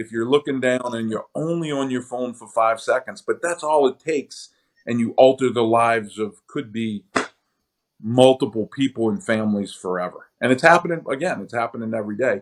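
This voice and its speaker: An unremarkable speaking voice from a man at medium pitch, fairly quick, with ordinary pitch variation and big swings in loudness. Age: 60s. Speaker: keynote speaker on fleet safety. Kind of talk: podcast interview.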